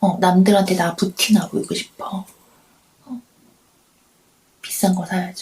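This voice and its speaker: Soft-spoken, a woman talks in a calm, gentle tone at a medium pitch with fairly even intonation. Her loudness swings widely, and she takes long, frequent pauses. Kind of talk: late-night radio-style chat, ASMR talk to camera. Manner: calm, soft-spoken, gentle.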